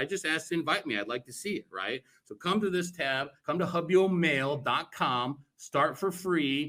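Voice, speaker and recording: A man speaks loudly in a bright, sharp tone with ordinary pitch variation. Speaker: cannabis networking group co-founder. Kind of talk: virtual event presentation. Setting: virtual event talk. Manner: boisterous.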